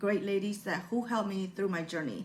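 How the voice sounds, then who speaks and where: A woman talks at a medium pitch with a Burmese accent. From Burma. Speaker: motivational YouTuber. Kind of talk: personal vlog talk. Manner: halting.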